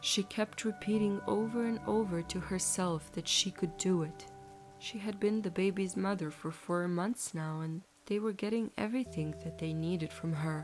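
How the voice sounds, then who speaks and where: A woman's fairly low voice at a moderate pace, ordinary pitch variation, music in the background. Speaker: bedtime story narrator. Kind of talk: bedtime story narration.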